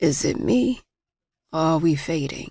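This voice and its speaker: A woman speaks in a put-on character voice with a very deep, low pitch. Her pace is moderate. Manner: uneasy, questioning.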